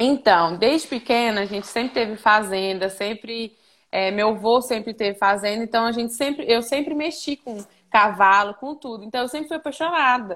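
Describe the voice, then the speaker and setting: In a plain, everyday voice, a woman with fairly high pitch and ordinary pitch variation speaks at a moderate pace, with big swings in loudness over a quiet background. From Minas Gerais, Brazil. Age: 20s. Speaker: veterinary student intern. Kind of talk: casual interview on a live stream. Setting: remote call from a farm.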